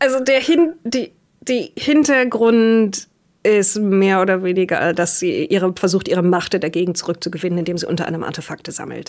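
A woman talks at a moderate pace with few pauses, her medium pitch showing ordinary variation and her tone slightly mellow.

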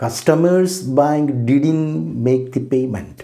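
Against a quiet background, a man with an Indian accent speaks at a medium pitch in a dark, mellow tone. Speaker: professor. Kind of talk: lecture. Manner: formal.

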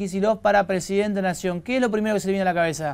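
A man's voice against a quiet background. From Argentina. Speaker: TV news interviewer. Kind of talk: news interview. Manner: halting. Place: studio.

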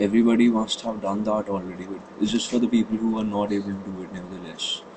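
There is noticeable background noise as a man speaks. His fairly low voice has a monotone, flat intonation. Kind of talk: casual tech tutorial talk.

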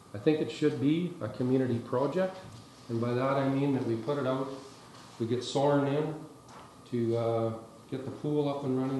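Amid audible room echo and light background noise, a man talks at a fairly quick pace with fairly even intonation. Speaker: town councillor. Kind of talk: meeting proposal speech. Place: meeting room.

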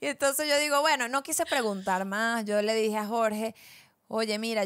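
In a Venezuelan accent, a woman talks fairly quickly at a fairly high pitch, with ordinary pitch variation against a quiet background. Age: 20s. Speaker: podcast co-host. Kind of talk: casual chat. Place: studio. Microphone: handheld.

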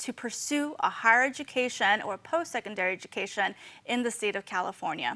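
A woman with an American accent speaks at a high pitch in a bright, sharp tone. Her delivery is fairly quick, with lively intonation. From US, Southeast Los Angeles; Los Angeles. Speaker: financial aid outreach staff and podcast co-host; podcast co-host. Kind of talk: casual informational chat. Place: studio.

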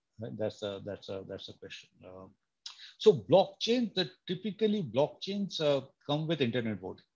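A man with a fairly high pitch and a somewhat breathy voice talks at a moderate pace, with very wide pitch swings and big swings in loudness over a quiet background. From India, Bengal. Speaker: computer science professor. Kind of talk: lecture. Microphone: webcam.

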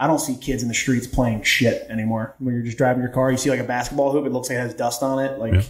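Talking at a very fast pace with hardly any pauses, a man delivers his words in a monotone, flat intonation amid audible room echo. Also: medium pitch for a man. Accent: American. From Baltimore, Maryland. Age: 30s. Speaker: podcast guest, coach. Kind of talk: casual chat. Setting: studio, in person. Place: studio.

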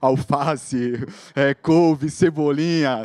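Ordinary pitch variation in a man's speech, with noticeable background noise. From Brazil, Guarujá, São Paulo state. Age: 30s. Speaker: social project founder and jiu-jitsu instructor. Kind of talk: motivational talk. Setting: stage with audience. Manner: casual slang-filled speech.

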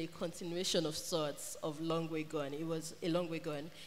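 There is light background noise. Intonation remains fairly even throughout. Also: woman. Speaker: festival moderator. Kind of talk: moderated author panel Q&A. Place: hall. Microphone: handheld.

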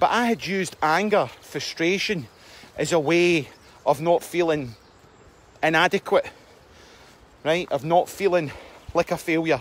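With a Scottish accent and a high pitch, a man speaks at a fairly slow pace with ordinary pitch variation and long, frequent pauses, in a dry sound with no echo. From Scotland. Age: 40s. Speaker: self-help vlogger. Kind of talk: casual monologue. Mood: earnest, reflective. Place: forest. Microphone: phone near.

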